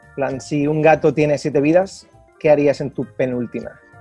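There is faint music in the background, though the sound is dry with no echo. A man talks at a moderate pace in a fairly high pitch. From Málaga, Spain. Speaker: traveller and travel vlogger. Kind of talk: interview answer. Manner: casual, hesitant. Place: hall. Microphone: earbuds.

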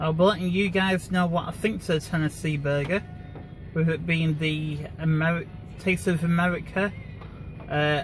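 Faint music plays behind a man speaking in a flat monotone at a moderate pace, the sound dry with no echo. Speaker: vlogger driving. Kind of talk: casual vlog chat. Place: car. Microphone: phone near.

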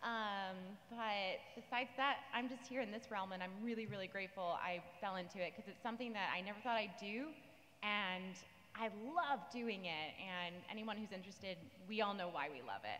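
A woman's voice with ordinary pitch variation, at a moderate pace. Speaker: voice actor panelist. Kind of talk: panel interview answer. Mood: warm, enthusiastic, grateful. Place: stage. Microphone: handheld.

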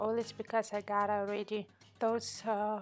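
A woman with a non-native accent, fairly high pitch and a very slow pace, with music in the background. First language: not English. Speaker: card-making hobbyist. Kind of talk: casual craft tutorial voice-over. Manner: unscripted, conversational.

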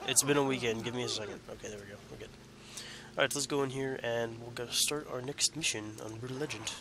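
A man at a medium pitch in a flat monotone, fairly quick, with a dry sound free of echo and noticeable background noise. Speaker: gaming youtuber; gaming commentator. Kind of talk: let's play commentary; casual let's play commentary. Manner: casual, halting with self-corrections. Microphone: new headset mic, picks up more than laptop; headset.

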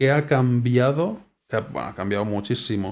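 The pace is fairly slow. Pitch varies in an ordinary way. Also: man. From Spain. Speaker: gaming YouTuber. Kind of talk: gameplay commentary. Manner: casual, hesitant.

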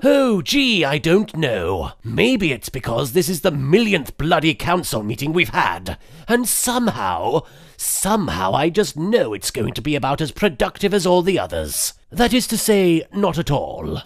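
With hardly any pauses, a man talks at a fairly slow pace in a high pitch that makes very wide swings. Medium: fan dub. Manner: sarcastic, weary, irritable.

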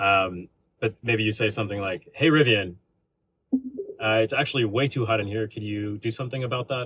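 A man talks at a fairly quick pace and a fairly low pitch, with ordinary pitch variation. The sound is dry with no echo, over a quiet background. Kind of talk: product demo explanation. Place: car.

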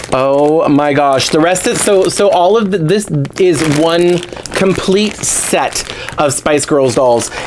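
Noticeable background noise sits behind a man with a high pitch. He talks very slowly and keeps his loudness very even. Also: ordinary pitch variation. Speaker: YouTuber, doll collector. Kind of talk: casual unboxing vlog. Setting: home recording by a window. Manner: animated. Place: home room. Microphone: lapel.

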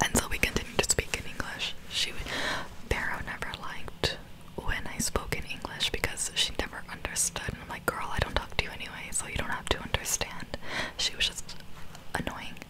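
A woman talks at a fairly quick pace over loud background noise. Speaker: vlogger. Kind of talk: casual storytime vlog chat. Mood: amused, slightly annoyed. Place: home room. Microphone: studio mic.

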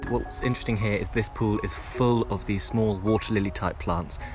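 Over clear background music, the speech comes at a fairly quick pace in a dry recording with no echo. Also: man. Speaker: wildlife vlogger. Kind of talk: casual vlog commentary. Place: forest. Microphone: phone near.

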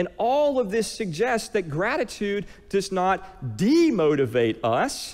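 With an American accent, a man speaks at a very slow pace in a high pitch, his warm tone marked by very wide pitch swings. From US. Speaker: pastor. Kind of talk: sermon. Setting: church. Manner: calm, gentle, guiding, meditative pace during the prayer exercise; warm, earnest, conversational preacher. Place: church. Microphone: headset.

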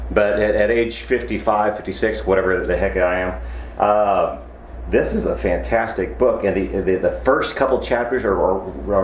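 A man talks at a fairly slow pace, with audible room echo and light background noise around him. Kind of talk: casual vlog chat. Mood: cheerful, relaxed. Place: workshop. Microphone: lapel.

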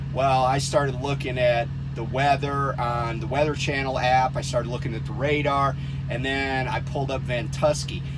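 Music plays in the background. A man talks at a moderate pace. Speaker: truck driver vlogger. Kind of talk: casual vlog chat. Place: car. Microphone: phone near.

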